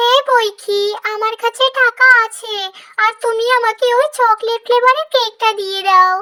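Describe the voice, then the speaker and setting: This is a cartoonish character voice. It sits at an extremely high pitch. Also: moderate pace. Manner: eager, wheedling.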